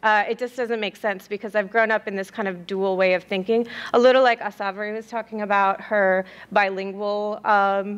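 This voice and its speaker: A medium-pitched woman at a moderate pace, in a monotone, flat intonation. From US Midwest, Columbus Ohio, South Indian family. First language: South Indian language. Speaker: graduate student researcher. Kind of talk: conference presentation. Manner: hesitant, many fillers.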